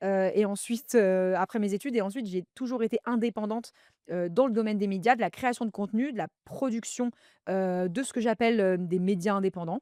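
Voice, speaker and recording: A woman with a dark, mellow tone speaks at medium pitch and a fairly quick pace, with ordinary pitch variation. The recording is very clean and dry, with a silent background and a close sound with no echo. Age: 30s. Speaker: podcaster and media entrepreneur. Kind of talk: casual chat.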